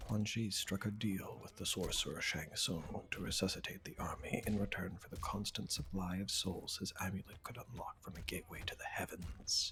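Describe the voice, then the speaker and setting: A man whispers in a calm tone at a moderate pace. He hardly pauses at all. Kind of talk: reading game character biographies aloud. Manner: soft-spoken, calm.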